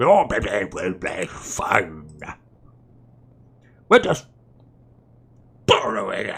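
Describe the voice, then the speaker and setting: Putting on a raspy character voice, a man speaks at a very slow pace with long, frequent pauses. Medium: game stream. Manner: calm, condescending.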